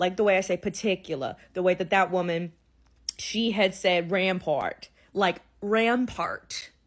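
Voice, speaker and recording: A woman's medium-pitched voice in a New Orleans accent, fairly slow and fairly even in intonation, in a very clean recording with a silent background. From New Orleans, Louisiana. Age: 20s. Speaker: content creator. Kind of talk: casual vlog monologue.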